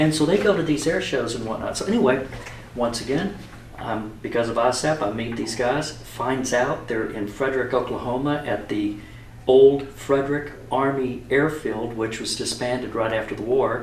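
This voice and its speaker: A man at medium pitch and moderate pace, ordinary pitch variation, audible room echo and noticeable background noise. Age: 60s. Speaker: aviation photographer. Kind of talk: casual interview.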